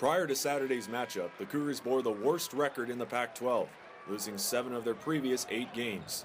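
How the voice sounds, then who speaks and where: A man's voice with ordinary pitch variation over background music. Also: medium pitch for a man, moderate pace. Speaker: sports broadcaster. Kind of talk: TV news package report.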